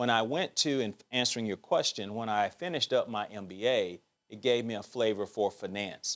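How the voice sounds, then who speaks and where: With an Alabama accent, a man speaks at a fairly quick pace and medium pitch, with ordinary pitch variation, in a very clean recording with a silent background. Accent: Southern US (Alabama). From Alabama, US South. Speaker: bank executive and author. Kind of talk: interview.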